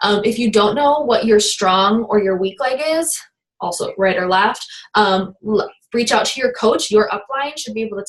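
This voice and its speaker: Fairly high-pitched female speech with ordinary pitch variation. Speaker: fitness business coach leading team training. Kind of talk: training call. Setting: online group call. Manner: fast.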